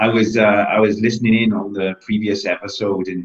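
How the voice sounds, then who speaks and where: In a Welsh accent, a man talks at a moderate pace with a fairly low pitch and monotone, flat intonation. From Wales. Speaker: bodybuilder and fitness coach. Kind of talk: interview.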